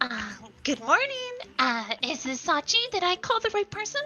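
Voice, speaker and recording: A woman performs a put-on character voice at an extremely high pitch with very wide pitch swings, speaking at a moderate pace over clear background music. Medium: virtual streamer. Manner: eager, friendly.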